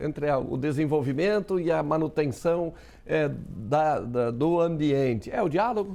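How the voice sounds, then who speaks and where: This man's voice is fairly high, dark and mellow. His intonation is lively while his loudness stays very even. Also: fairly slow pace. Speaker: TV news host. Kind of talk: TV studio interview questions. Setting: studio.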